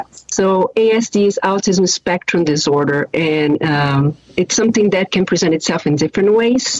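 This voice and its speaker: A woman with a slight Brazilian accent speaks at a fairly slow pace and medium pitch, with lively intonation and hardly any pauses. Her loudness stays very even, and the sound is dry and close with no echo, though noticeable background noise is present. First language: Portuguese. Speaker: airline sales director. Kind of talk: panel talk.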